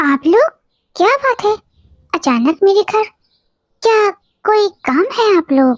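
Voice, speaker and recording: Cartoonish character voice from a woman at an extremely high pitch, with very wide pitch swings and long, frequent pauses, in a dry, close sound with no echo. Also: moderate pace. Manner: soft, sincere.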